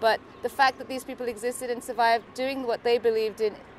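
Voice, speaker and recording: A woman is heard with a dry sound with no echo, with noticeable background noise present. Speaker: interviewee. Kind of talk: interview answer. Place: street.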